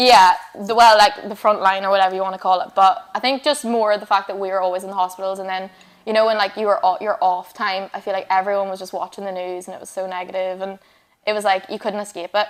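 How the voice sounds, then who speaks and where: At a very fast pace, a woman with a strong Northern Irish accent talks at medium pitch in a monotone, flat intonation, with big swings in loudness. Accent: Northern Irish, still strong. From Northern Ireland, Fermanagh. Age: 20s. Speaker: radiographer and online fitness coach. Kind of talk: casual interview chat.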